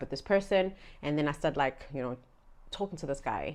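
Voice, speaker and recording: A woman's very deep, low voice with a Zulu accent and lively intonation, on a very clean recording with a silent background. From South Africa, Durban area (KwaZulu-Natal). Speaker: vlogger. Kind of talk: storytime vlog. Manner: casual, chatty.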